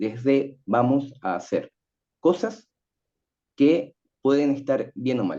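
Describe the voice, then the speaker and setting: A man with a dark, mellow tone talks in a sing-song way at a medium pitch. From Chile. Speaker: writing teacher and panelist. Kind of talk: panel talk. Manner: sing-song intonation.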